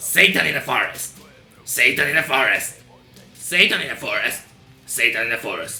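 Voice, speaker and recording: A man does a put-on character voice that is nasal and medium-pitched, at a moderate pace with long, frequent pauses. Faint music plays in the background. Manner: harsh, screeching.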